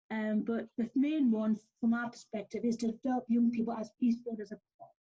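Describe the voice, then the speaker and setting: Someone speaks with a northern English accent at a fairly quick pace. The tone is dark and mellow, and the intonation is fairly even. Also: woman. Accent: northern English, noticeable. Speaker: youth program organiser presenting. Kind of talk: online presentation. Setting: video call. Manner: fast; hesitant, many fillers.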